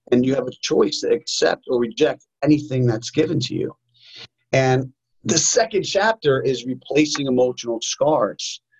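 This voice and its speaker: With a New York accent, a man speaks at a moderate pace, somewhat breathy, with ordinary pitch variation. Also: fairly high pitch for a man. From New York, US. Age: 40s. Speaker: martial arts instructor and author. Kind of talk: interview.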